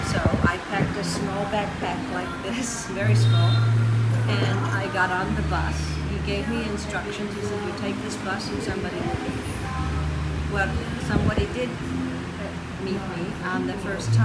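Someone speaks at a fairly slow pace over loud background noise. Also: woman. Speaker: interviewee. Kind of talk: interview answer. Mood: reflective storytelling. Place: cafe.

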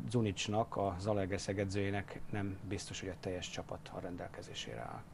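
A man speaks over light background noise. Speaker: basketball studio analyst. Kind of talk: studio analysis. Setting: studio. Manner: hesitant with fillers. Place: studio. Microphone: lapel.

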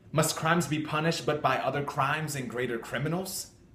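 Light background noise and audible room echo surround a man speaking fairly quickly in an intense tone, his fairly high pitch showing ordinary variation. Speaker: amateur actor. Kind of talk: dramatic classical monologue, defiant theatrical soliloquy of verse. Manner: intense, declamatory, forceful and defiant. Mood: defiant. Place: home room. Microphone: phone near.

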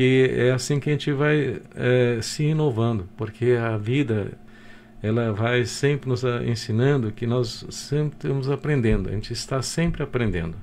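Over light background noise, a man speaks at medium pitch and a fairly slow pace with ordinary pitch variation. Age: 60s. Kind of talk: radio interview. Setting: radio studio. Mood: grateful, reflective. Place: office. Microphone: video call.

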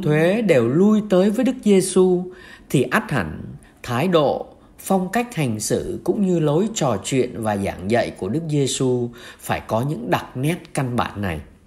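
Pitched fairly high, a man talks at a very slow pace. His pitch swings very widely. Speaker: priest. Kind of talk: homily-style reflection on the Gospel.

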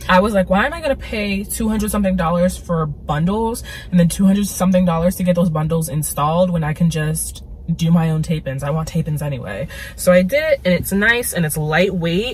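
A woman with a fairly low pitch and ordinary pitch variation talks at a fairly quick pace over light background noise. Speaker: vlogger. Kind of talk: casual vlog chat. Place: car. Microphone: phone near.

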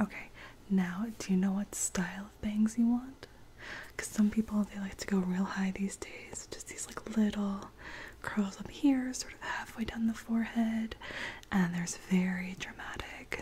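Soft-spoken and gentle in tone, a woman talks at a fairly slow pace over light background noise. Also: fairly even intonation. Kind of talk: roleplay, soft personal attention talk. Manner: soft-spoken, gentle ASMR voice. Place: home room. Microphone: studio mic.

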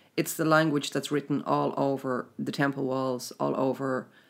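A woman with an Irish accent speaks in a very deep, low voice with vocal fry. Her pace is moderate and her intonation fairly even. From Ireland. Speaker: spiritual teacher running a mystery school. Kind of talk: casual interview chat about spirituality. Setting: recorded in Trim, Ireland.

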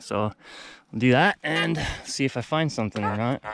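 Music plays behind a man speaking in a dry sound with no echo. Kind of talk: casual vlog chat. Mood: relaxed, upbeat. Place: open country. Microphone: phone near.

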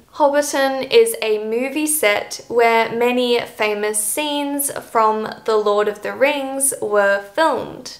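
At a very slow pace and with an Australian accent, a woman speaks in a high voice over a quiet background. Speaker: English teacher, YouTuber. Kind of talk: scripted educational talk to camera. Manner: clear, measured delivery for learners. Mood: friendly, cheerful.

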